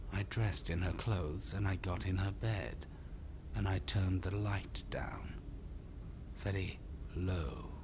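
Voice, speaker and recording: Over loud background noise, a man puts on a character voice with a very deep, low pitch, speaking at a fairly slow pace with long, frequent pauses. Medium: short film. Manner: quiet, measured.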